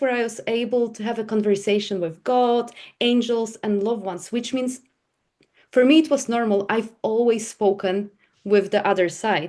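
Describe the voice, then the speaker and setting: A woman with a Polish accent speaks at a fairly high pitch with ordinary pitch variation. Her pace is moderate, and the background stays quiet. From Poland. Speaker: psychic medium. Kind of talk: podcast interview.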